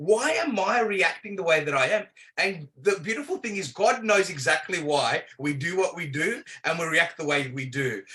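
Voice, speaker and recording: In an Australian accent, a man with a high pitch speaks at a moderate pace with lively intonation. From Australia, Melbourne. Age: 40s. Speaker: prayer ministry leader. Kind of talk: podcast interview.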